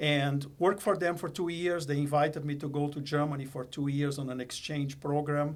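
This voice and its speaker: A man with a non-native accent speaks at a moderate pace, his fairly high pitch held in fairly even intonation. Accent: foreign. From Brazil. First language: Portuguese. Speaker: company executive. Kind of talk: podcast interview.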